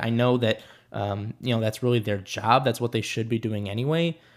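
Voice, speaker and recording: A man has an ordinary speaking voice at a moderate pace. The recording is very clean, with a silent background. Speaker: true crime podcast host. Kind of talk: true-crime narration. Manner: measured, serious storytelling pace; earnest, conversational.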